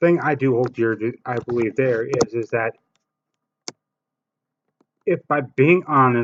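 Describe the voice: A man's slow, medium-pitched voice with a fairly bright tone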